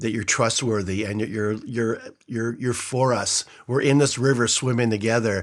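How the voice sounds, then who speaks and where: With an unremarkable speaking voice, a man talks at a moderate pace in a medium pitch with fairly even intonation. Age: 60s. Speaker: retired pastor and nonprofit founder. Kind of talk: casual interview.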